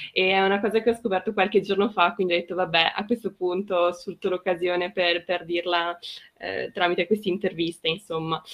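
A woman's medium-pitched voice at a fairly quick pace, in a monotone with flat intonation. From Trentino, northern Italy. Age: 20s. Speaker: communications student, project co-founder. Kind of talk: casual interview.

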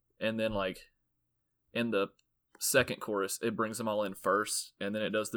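A man's fairly low voice runs flat and monotone over a very clean recording with a silent background. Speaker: guest album picker. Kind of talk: casual chat about music.

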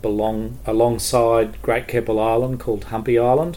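Speaking at a fairly quick pace in an Australian accent, a man has a medium pitch, a dark, mellow tone and monotone, flat intonation. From Queensland, Australia (Townsville). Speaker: education administrator, former teacher. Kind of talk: casual chat.

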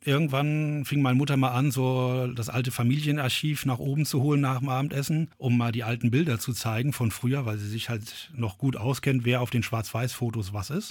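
A man with an ordinary speaking voice talks at a moderate pace and a medium pitch, with hardly any pauses. His intonation stays fairly even. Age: 40s. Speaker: brewery founder and gardener. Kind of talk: interview.

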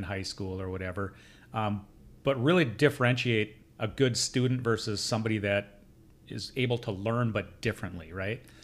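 A man's fairly low-pitched, plain, everyday voice at a fairly quick pace, with ordinary pitch variation, on a very clean recording with a silent background. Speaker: podcast host and custom home builder. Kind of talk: casual interview chat. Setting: studio.

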